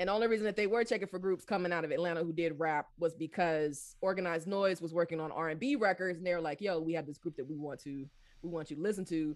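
The pace is very fast, with a Southern US accent. Hardly any pauses break the speech. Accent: Southern US, shifted from DMV. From Washington DC area, later US South. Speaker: professor and author. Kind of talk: interview conversation. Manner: fast talker.

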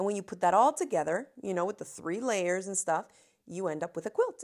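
A woman with an American accent uses a normal speaking voice, pitched fairly low with ordinary pitch variation. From US South, Miami, Florida. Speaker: crafting video creator. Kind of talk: solo storytelling podcast.

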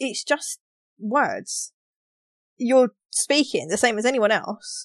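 A woman with a London accent speaks very slowly at a high pitch, her voice making very wide pitch swings between long, frequent pauses, in a dry, close sound with no echo. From London, England. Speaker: podcast co-host. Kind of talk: casual chat. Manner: animated.

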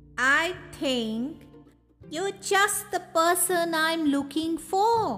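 With faint music in the background, a woman does a put-on character voice at an extremely high pitch, speaking at a very slow pace in a gentle tone.

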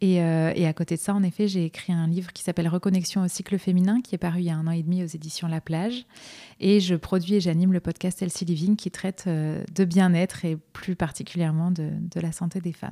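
A woman's fairly low, dark and mellow voice, flat and monotone, at a fairly quick pace, dry and close with no echo, on a very clean recording with a silent background. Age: 30s. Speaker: naturopath. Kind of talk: interview. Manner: hesitant, many filler words.

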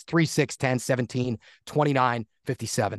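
In a normal speaking voice with an American accent, a man talks at a fairly quick pace and medium pitch with ordinary variation, the sound dry and close with no echo against a quiet background. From US Northeast, Poconos, Pennsylvania. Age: 30s. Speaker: play-by-play announcer. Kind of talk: casual chat.

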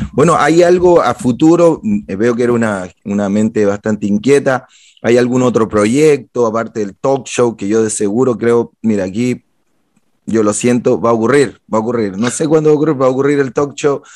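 A man with a medium-pitched voice speaks at a moderate pace in a plain, everyday voice. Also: ordinary pitch variation. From Chile. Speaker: podcast host, publicist. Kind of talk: casual interview.

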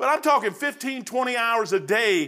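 A man speaks in an extremely high pitch with a bright, sharp tone and lively intonation. His voice is raised and projected, and his tone is animated. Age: 60s. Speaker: lay preacher. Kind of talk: sermon. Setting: church.

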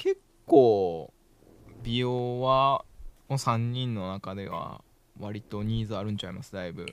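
At a fairly slow pace with long, frequent pauses, a man speaks at medium pitch, with ordinary pitch variation and big swings in loudness. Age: 30s. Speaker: podcast host. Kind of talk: casual chat. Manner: animated, frequent laughter.

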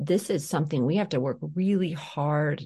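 In a quiet background, a woman speaks with a very deep, low pitch and a dark, mellow tone that is somewhat breathy. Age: 40s. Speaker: trauma and poverty educator. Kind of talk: interview. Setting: studio. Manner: animated.

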